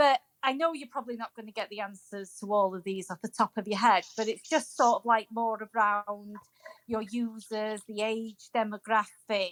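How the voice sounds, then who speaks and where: A woman with a strong Welsh accent, fairly high in pitch with ordinary pitch variation, at a moderate pace with big swings in loudness, in a dry, close sound with no echo. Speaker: audience questioner. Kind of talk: Q&A question.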